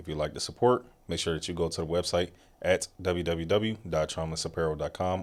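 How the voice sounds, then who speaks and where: In a very clean recording with a silent background, a man speaks at a very fast pace with a very deep, low pitch and ordinary pitch variation. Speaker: podcast host. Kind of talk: scripted outro; casual chat.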